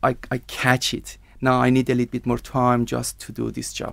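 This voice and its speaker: The speaker talks at a moderate pace with an Iranian accent. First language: Persian. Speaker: IELTS candidate, TV producer. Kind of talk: language exam interview. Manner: halting.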